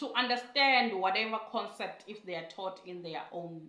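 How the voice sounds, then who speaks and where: A woman with a strong African accent, in audible room echo. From South Africa, rural Mpumalanga. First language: Siswati. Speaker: English teacher abroad. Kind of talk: casual vlog talk. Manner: halting.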